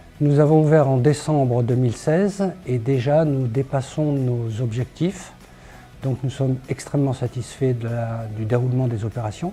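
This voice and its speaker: An ordinary speaking voice with ordinary pitch variation, delivered at a fairly slow pace. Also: man, medium pitch for a man. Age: 60s. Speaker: craft brewery founder. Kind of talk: promotional testimony.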